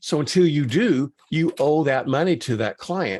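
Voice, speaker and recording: Over a very clean recording with a silent background, a man speaks at a moderate pace with lively intonation. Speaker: accounting professor. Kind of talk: lecture. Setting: screen-share video presentation. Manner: halting, many fillers.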